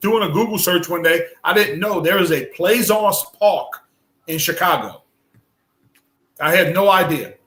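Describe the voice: His bright, sharp tone at a high pitch stays fairly even as the man talks at a fairly slow pace with long, frequent pauses.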